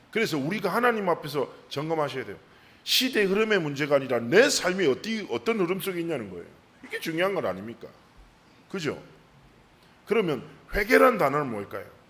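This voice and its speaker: The speech runs very fast with lively intonation, broken by long, frequent pauses, over noticeable background noise. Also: man. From South Korea, Busan. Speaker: pastor. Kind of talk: sermon.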